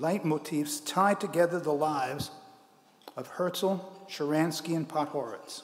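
Ordinary pitch variation in a man's speech. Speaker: award presenter. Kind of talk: ceremonial speech. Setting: stage with audience. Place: hall. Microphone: podium.

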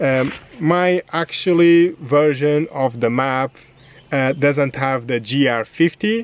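A man at a medium pitch, slow in pace, with ordinary pitch variation

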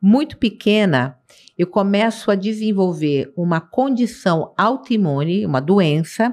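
Her intonation is lively. The woman's pace is fairly slow. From Rio de Janeiro, Brazil. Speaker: city councillor. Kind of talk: interview. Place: studio. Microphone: studio mic.

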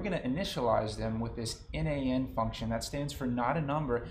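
A man speaks at a medium pitch and a fairly quick pace. His voice is somewhat breathy, with ordinary pitch variation. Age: 30s. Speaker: engineering student. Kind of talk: class presentation. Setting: recorded screen presentation.

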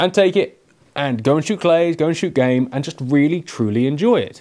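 A man talks at a moderate pace in a dark, mellow tone. The background is quiet. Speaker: gun reviewer. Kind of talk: product review commentary. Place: shop.

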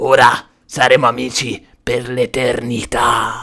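A man does a put-on character voice with a menacing, theatrical tone. His voice is raspy, at medium pitch and a fairly slow pace. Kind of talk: comic villain overacting. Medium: machinima. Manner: menacing, gloating, theatrical.

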